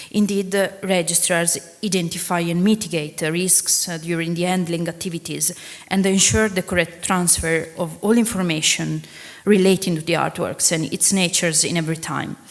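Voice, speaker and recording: A woman with an Italian accent at a moderate pace and fairly low pitch, fairly even in intonation, over noticeable background noise. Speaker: museum registrar. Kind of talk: conference talk. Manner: halting.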